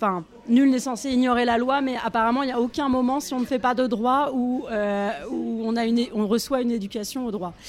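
Her high-pitched voice keeps fairly even intonation as the woman talks at a fairly quick pace. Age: 40s. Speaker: feminist activist and co-author. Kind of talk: interview. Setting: café. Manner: halting.

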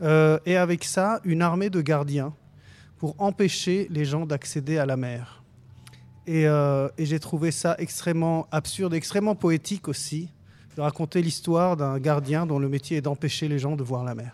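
Delivered at a fairly slow pace, an ordinary speaking voice keeps its intonation fairly even. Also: man, fairly high pitch for a man. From Lebanon. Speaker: film director. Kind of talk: radio interview.

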